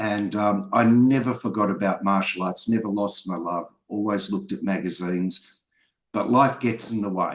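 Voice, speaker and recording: Over a quiet background, a man speaks at a moderate pace with fairly low pitch and ordinary pitch variation. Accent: Australian. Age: 60s. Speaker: filmmaker and martial artist. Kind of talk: interview.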